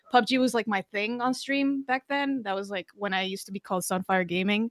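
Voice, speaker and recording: A Spanish accent in dry, close sound with no echo, on a very clean recording with a silent background. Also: woman. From Costa Rica. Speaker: Twitch streamer and drummer. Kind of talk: casual interview. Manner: halting, many fillers.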